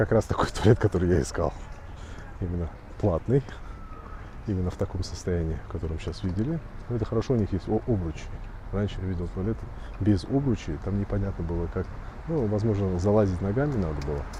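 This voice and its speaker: Amid noticeable background noise, a man with a very deep, low pitch and lively intonation talks very fast yet leaves long, frequent pauses. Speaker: travel vlogger. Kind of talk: vlog narration. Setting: outdoors.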